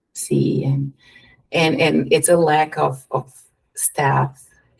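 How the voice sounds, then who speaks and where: A woman with a Brazilian accent, at a very slow pace. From Curitiba, Brazil. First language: Portuguese. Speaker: behavioral therapist, DJ, world traveler. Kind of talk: podcast interview answer.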